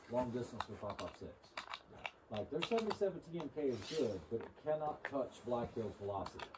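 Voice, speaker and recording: A man speaks at a fairly slow pace. Noticeable background noise is present. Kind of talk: casual conversation. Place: open country.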